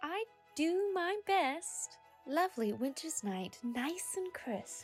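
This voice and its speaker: A cartoonish character voice, female-sounding and high in pitch, at a very slow pace with very wide pitch swings, over clear music in the background. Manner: upbeat, cheerful.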